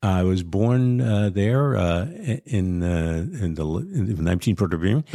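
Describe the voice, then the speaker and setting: A man speaks at a fairly slow pace in a very deep, low voice with a dark, mellow tone. His intonation is lively. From New York City, Brooklyn (Bay Ridge). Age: 70s. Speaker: TV cooking show host. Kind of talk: interview.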